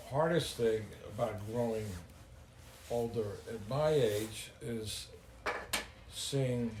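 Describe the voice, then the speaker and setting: Amid noticeable background noise and audible room echo, a man talks at a very slow pace in a medium pitch. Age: 70s. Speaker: grandfather, business owner. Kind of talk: interview. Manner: halting.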